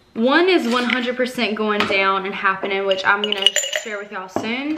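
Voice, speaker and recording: A woman speaks at a moderate pace. Loud background noise runs behind her. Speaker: vlogger. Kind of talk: casual vlog chat. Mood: relaxed and upbeat. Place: kitchen. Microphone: phone near.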